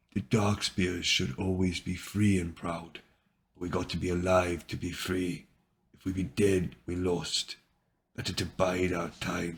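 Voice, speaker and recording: Using a put-on character voice, a man speaks at a fairly slow pace in a very deep, low pitch. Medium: read story.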